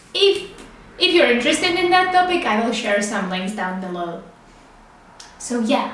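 A woman with a Czech accent and a high pitch, with very wide pitch swings, at a moderate pace with long, frequent pauses, amid audible room echo and noticeable background noise. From Czech Republic. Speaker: podcast host. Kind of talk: casual monologue.

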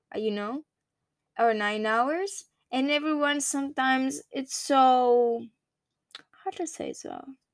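The recording is very clean with a silent background. A woman with a Greek accent speaks at a high pitch with lively intonation. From Greece. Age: 20s. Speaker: podcaster. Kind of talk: casual monologue. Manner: halting.

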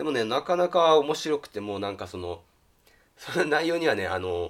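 A man speaks with a fairly high pitch and vocal fry. His pitch swings very widely. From rural Japan. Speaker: YouTuber. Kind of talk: casual monologue. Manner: hesitant with fillers.

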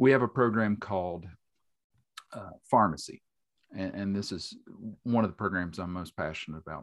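With an Appalachian accent, a man with a fairly low pitch talks with big swings in loudness and long, frequent pauses, in a very clean recording with a silent background. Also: ordinary pitch variation, moderate pace. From West Virginia, Boone County. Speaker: journalist and multimedia specialist. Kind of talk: casual chat.

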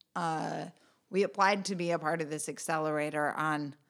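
A woman with an American accent has a very deep, low pitch and fairly even intonation. She speaks at a moderate pace on a very clean recording with a silent background. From US Midwest, rural central Michigan. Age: 30s. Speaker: community organization founder. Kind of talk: interview.

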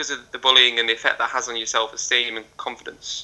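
Over noticeable background noise, a man talks with a northwest English accent. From northwest England. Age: 20s. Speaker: adventurer and motivational speaker. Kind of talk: casual interview chat. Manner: hesitant, with stammer and repetitions.

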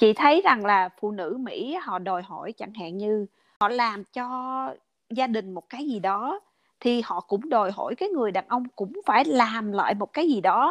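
A woman's ordinary speaking voice, fairly high in pitch, with lively intonation and a fairly slow pace, dry and close with no echo over a quiet background. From Vietnam. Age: 40s. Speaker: podcast guest. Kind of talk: casual interview chat.

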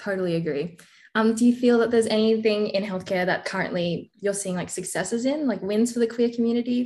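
A woman with an Australian accent, somewhat breathy and fairly high-pitched, at a fairly quick pace with ordinary pitch variation, over a quiet background. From Australia, Melbourne. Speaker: podcast host. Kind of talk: interview.

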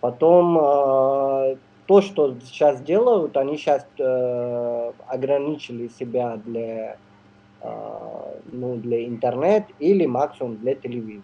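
The man's medium-pitched speech unfolds at a very slow pace. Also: ordinary pitch variation. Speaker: neurosurgeon and film distributor. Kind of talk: radio interview. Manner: halting, many fillers.

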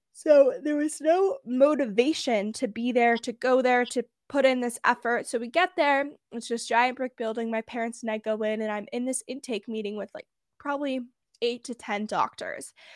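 In a very clean recording with a silent background and a dry, close sound with no echo, a woman with an American accent speaks at a high pitch and a moderate pace with ordinary pitch variation. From US West Coast, Bay Area. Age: under 20, just graduated high school. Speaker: podcast host sharing mental health story. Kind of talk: interview, personal testimony.

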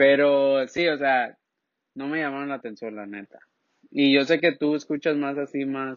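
Speaking with a plain, everyday voice, a man talks at a fairly slow pace and fairly high pitch. His intonation is fairly even, though his loudness swings widely. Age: 20s. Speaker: podcast co-host. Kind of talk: casual chat.

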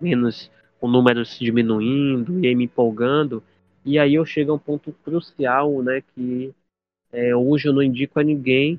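A man's medium-pitched, a plain, everyday voice, at a fairly slow pace with fairly even intonation. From Bahia, Brazil (Salvador). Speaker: podcast guest, community member. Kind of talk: personal testimony.

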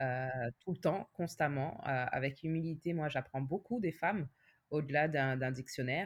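A woman with a very deep, low pitch speaks fairly slowly, her loudness very even and her pitch variation ordinary. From France. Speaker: nurse and patient advocate. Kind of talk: interview testimony.

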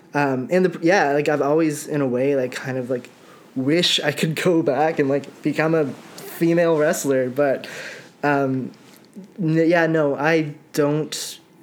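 Noticeable background noise sits under speech that goes at a fairly slow pace. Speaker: guest, massage therapist. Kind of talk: casual interview chat.

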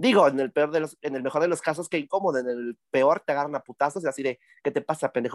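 On a very clean recording with a silent background, a man talks very fast at a fairly high pitch with ordinary pitch variation, the sound dry and close with no echo. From Tlaxcala, Mexico. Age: 30s. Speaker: cabaret and theatre performer. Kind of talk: casual comedic interview. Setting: cabaret venue.

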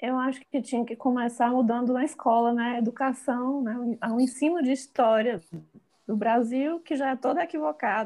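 This woman's voice has a high pitch and a dark, mellow tone, with ordinary pitch variation at a moderate pace. The recording is very clean and the background silent. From Bahia, Brazil. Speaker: fashion designer and visual artist. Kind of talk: casual interview.

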